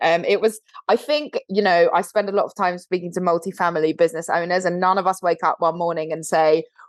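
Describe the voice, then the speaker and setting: A woman with a British accent and a fairly low pitch, at a fairly quick pace with hardly any pauses. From London, England. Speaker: co-founder of a video marketing agency, former TV host. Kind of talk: podcast interview. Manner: animated.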